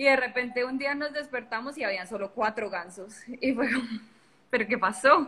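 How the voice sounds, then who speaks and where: The woman's voice sits high in pitch, with ordinary variation. She speaks at a moderate pace. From Colombia. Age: young. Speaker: digital marketing entrepreneur. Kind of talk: casual interview on a live stream. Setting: live video stream from a phone.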